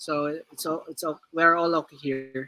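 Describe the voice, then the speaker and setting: Very slowly and in a monotone, flat intonation, a man with a Filipino accent speaks in a high-pitched voice with a bright, sharp tone. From Philippines, Visayas. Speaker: crypto community member. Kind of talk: casual chat. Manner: halting.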